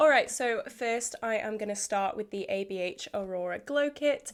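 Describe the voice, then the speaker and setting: A woman with a British accent speaks in a fairly high voice with lively intonation. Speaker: beauty vlogger. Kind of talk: casual product update vlog.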